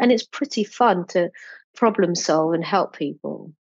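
Using an English accent, a woman speaks with lively intonation. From England. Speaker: entrepreneur and children's book publisher. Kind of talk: interview.

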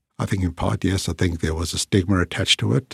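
Fairly quick and somewhat breathy, a man speaks in a very deep, low pitch with fairly even intonation, the sound dry and close with no echo on a very clean recording with a silent background. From South Africa. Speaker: psychiatrist and professor. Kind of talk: interview. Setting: studio.

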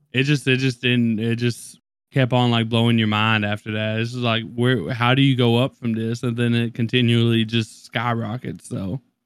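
Monotone, flat intonation from a man with an American accent, medium-pitched and at a moderate pace. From US South, Kentucky. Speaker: podcast co-host. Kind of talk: casual chat.

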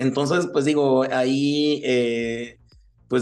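A man with a medium-pitched voice speaks very slowly, his intonation fairly even. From Chihuahua, northern Mexico. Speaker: sotol educator and producer. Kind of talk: interview. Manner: hesitant, many fillers.

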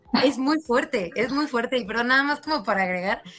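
A woman talks at a fairly quick pace with ordinary pitch variation. There is noticeable background noise. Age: 20s. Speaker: pole dance athlete. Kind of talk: casual chat.

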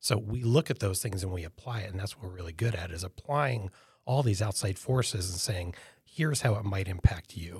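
A somewhat breathy voice in an American accent moves at a fairly quick pace with ordinary pitch variation. Loudness swings widely, over a very clean recording with a silent background. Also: man, fairly low pitch for a man. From upstate New York. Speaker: futurist and business founder. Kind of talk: casual interview.

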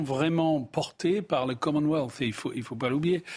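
This man speaks with an English accent. His pitch variation is ordinary. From England. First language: English (speaking French). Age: 60s. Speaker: business executive. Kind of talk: TV panel discussion.

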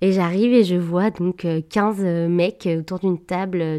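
Her dark, mellow tone and fairly low pitch mark this woman's voice, which keeps a fairly even intonation. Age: 20s. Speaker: podcast guest sharing a love story. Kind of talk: personal testimony. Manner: hesitant, many fillers.

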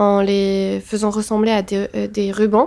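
In a very clean recording with a silent background, a woman speaks at medium pitch. Her intonation is flat and monotone. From Tunisia, Tunis. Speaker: photographer. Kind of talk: casual interview chat.

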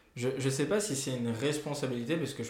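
Audible room echo surrounds a man speaking at a moderate pace in a dark, mellow tone. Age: 20s. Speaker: journalist. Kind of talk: casual chat.

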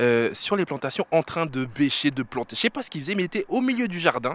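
A man speaks with very wide pitch swings. The sound is dry and close with no echo. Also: very clean recording, silent background. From France, Paris-area suburbs (banlieue). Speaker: radio host. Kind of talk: casual chat. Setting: outdoors.

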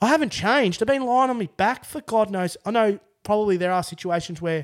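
Moderate-paced speech in an Australian accent, with very wide pitch swings. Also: man. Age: 30s. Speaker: construction worker with spinal cord injury. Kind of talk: casual chat.

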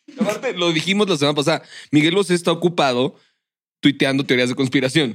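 With a Mexican accent, a man talks at a very fast pace. His fairly high pitch shows ordinary variation. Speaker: podcast co-host. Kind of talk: casual chat.

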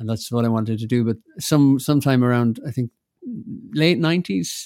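In a dry, close recording with no echo, a man talks at a fairly quick pace in a medium pitch with ordinary pitch variation. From Ireland. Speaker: musician and composer. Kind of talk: casual chat.

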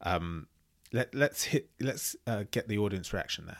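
A man with vocal fry at a moderate pace, in a very clean recording against a silent background. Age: 30s. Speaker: podcast host reacting to videos. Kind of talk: reaction commentary.

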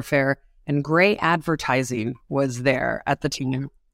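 The speaker has a New York accent. The pace is moderate and the intonation fairly even. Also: woman. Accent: New York American. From New York City. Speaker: advertising executive at a social media platform. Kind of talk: interview conversation.

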